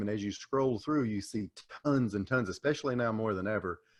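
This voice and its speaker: Against a quiet background, a man with a Southern US accent talks at a fairly low pitch. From US South, Tennessee. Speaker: small business coach and explainer video maker. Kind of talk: podcast interview.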